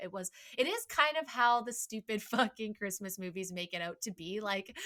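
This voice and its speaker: A woman with a fairly high pitch talks in a western Canadian accent. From western Canada (Port Alberni, BC). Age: 30s. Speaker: podcast host. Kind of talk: casual chat.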